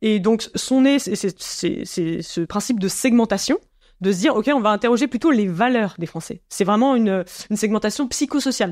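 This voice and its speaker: A woman's fairly high voice at a moderate pace, with ordinary pitch variation, in a very clean recording over a silent background. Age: 30s. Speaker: climate communication researcher. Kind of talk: casual interview. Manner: hesitant with many fillers.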